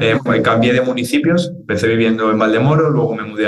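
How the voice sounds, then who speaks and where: A man speaks with lively intonation. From Spain (Madrid area), born in Argentina. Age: 20s. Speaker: fitness trainer and content creator. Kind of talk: interview conversation.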